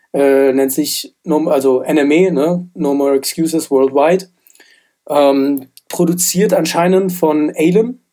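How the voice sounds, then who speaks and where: Very slowly, a man speaks in a dark, mellow tone, fairly high in pitch with ordinary pitch variation and very even loudness. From Germany, Frankfurt. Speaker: rap music podcast co-host. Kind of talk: casual chat.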